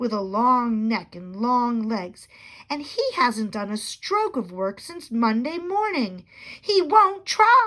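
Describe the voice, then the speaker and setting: In a put-on character voice, a woman speaks at a fairly slow pace and a high pitch. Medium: read story.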